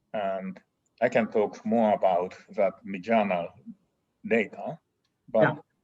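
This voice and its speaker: A man speaks with a Japanese accent at a very slow pace, leaving long, frequent pauses. The sound is dry and close, with no echo. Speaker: engineering professor and dean. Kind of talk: interview. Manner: halting.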